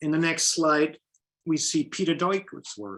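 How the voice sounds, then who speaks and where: A German accent colors the speech. It moves at a moderate pace. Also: man. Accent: German accent, some pronunciation issues. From Germany. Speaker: painter. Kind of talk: lecture.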